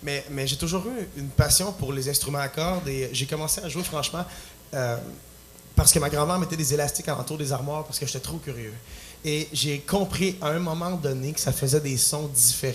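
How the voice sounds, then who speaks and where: A man with a Quebec accent, fairly high pitch, ordinary pitch variation and a fairly quick pace, in audible room echo. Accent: Québécois French. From Quebec, Plessisville. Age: 20s. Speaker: singer-songwriter. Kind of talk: talk show interview. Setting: stage with audience. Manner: halting.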